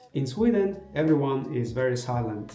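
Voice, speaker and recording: A man with a medium-pitched voice talks over noticeable background noise, and the room's echo is audible. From Azerbaijan, Baku. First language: Azerbaijani. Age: 20s. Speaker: vlogger and graduate student. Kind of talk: casual vlog talk. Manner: halting, with fillers.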